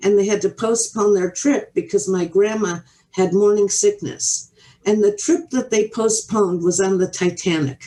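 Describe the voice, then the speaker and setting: Her tone is dark and mellow, with ordinary pitch variation. The woman keeps her loudness very even. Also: medium pitch for a woman, moderate pace. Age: 70s. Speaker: entrepreneur and interviewer. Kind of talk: casual interview chat. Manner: halting, with many fillers.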